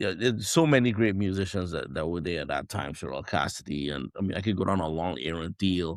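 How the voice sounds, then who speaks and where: A man speaks very fast with a very deep, low voice, vocal fry, ordinary pitch variation and hardly any pauses, on a very clean recording with a silent background. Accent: Trinidadian. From Trinidad and Tobago. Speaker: jazz trumpeter. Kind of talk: podcast interview.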